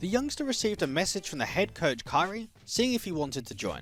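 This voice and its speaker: The speaker has an Australian accent and very wide pitch swings. Music plays in the background. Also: man. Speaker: esports caster. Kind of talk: esports video essay narration.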